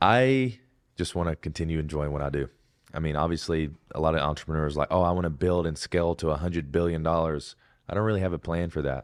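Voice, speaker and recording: A man's very deep, low voice in an Alabama accent, very fast, with ordinary pitch variation, on a very clean recording with a silent background. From Alabama, US South. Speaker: Navy veteran and fitness content creator. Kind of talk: podcast interview. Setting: studio.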